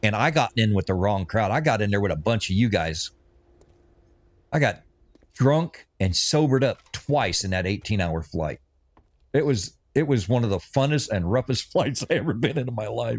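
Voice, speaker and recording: With a plain, everyday voice and an American accent, a man speaks at a moderate pace in a medium pitch with lively intonation, on a very clean recording with a silent background. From US, Oregon and Missouri. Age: 60s. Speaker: gaming streamer, retired Navy veteran. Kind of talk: casual livestream chat while gaming. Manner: relaxed, rambling with self-repeats.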